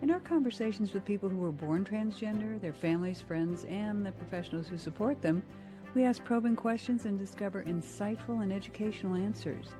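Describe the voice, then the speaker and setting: Background music accompanies the recording. The woman's delivery runs fairly quick. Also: medium pitch for a woman, ordinary pitch variation. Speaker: podcast host. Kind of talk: show introduction.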